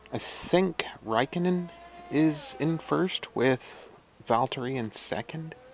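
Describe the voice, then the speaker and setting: At a very slow pace with long, frequent pauses, a man with fairly high pitch speaks over noticeable background noise. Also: ordinary pitch variation. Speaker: gaming streamer. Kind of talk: gameplay commentary. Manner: casual, rambling to self.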